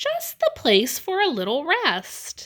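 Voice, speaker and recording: A woman performs a put-on character voice at an extremely high pitch and a fairly slow pace. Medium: read story. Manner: fussy.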